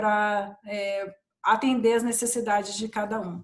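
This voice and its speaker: A woman with a Bahian accent, speaking at a fairly slow pace. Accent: Bahian accent, kept. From Brazil, Bahia (Ilhéus). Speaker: corporate training and diversity professional. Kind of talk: panel discussion. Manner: hesitant, many restarts.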